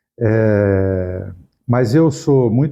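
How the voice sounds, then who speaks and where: The speaker is a man with a fairly low pitch. He varies it in an ordinary way. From Brazil, Araraquara, São Paulo state. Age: 70s. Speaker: university professor, former rector. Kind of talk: interview.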